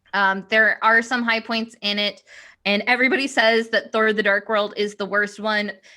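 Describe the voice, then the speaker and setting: A woman's fairly high, bright, sharp voice in monotone, flat intonation at a moderate pace, on a very clean recording with a silent background. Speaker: podcast co-host, classical musician. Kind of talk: casual chat. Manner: slight stutter.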